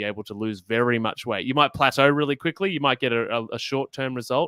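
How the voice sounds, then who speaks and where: Recorded very cleanly with a silent background and a dry, close sound with no echo, a man talks fairly quickly at a medium pitch in a bright, sharp tone with ordinary pitch variation. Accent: Australian. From Australia. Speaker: health podcaster. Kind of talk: interview on a live stream.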